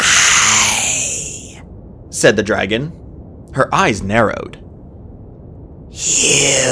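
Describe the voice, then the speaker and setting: A man speaks at a very slow pace in a put-on character voice, raspy and creaky at a medium pitch, with clear background noise behind him. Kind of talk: read story. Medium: read story. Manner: quiet, eerie.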